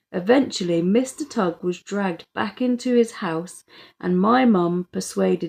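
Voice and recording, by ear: The setting has a quiet background. A passage is read aloud in a natural voice.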